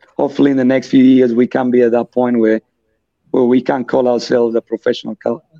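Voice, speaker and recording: With a Colombian accent, a man speaks at a fairly quick pace and a medium pitch. His tone is dark and mellow, and the sound is dry and close with no echo. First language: Spanish. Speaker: futsal club vice president and player. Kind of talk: podcast interview.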